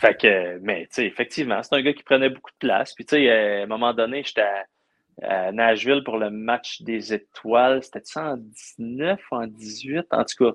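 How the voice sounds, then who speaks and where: A man with an ordinary speaking voice, medium pitch, and ordinary pitch variation. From Quebec, Abitibi region. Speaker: sports journalist covering hockey. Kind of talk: casual interview chat.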